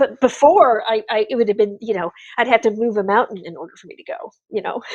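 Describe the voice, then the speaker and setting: A woman speaks at a very fast pace with lively intonation and a fairly high pitch. Her loudness swings in big ways. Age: 50s. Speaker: artist. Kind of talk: casual chat. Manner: animated.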